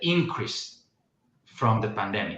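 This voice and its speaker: A man talks with a Romanian accent. There is audible room echo in the recording. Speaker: podcast host. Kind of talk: casual chat. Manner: halting.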